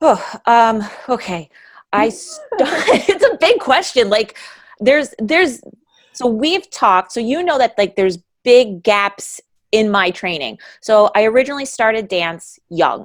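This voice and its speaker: A woman's fairly high voice with a downstate New York accent, very wide pitch swings, a fairly slow pace and long, frequent pauses. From downstate New York (Hudson Valley). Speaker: adult ballet dancer and studio owner. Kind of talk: podcast interview. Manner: hesitant, many fillers.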